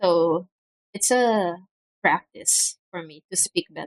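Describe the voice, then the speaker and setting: At a very slow pace, a woman speaks at a medium pitch in a dry, close sound with no echo. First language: Filipino. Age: 20s. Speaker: student streamer. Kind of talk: casual livestream chat. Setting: home livestream. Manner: deliberately loud; halting. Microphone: mic misses quiet speech, clips sentence starts.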